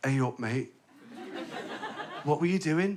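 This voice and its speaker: A man with an Australian accent speaks in a fairly high pitch with lively intonation. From Australia, Adelaide. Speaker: stand-up comedian. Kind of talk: stand-up. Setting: stage with audience.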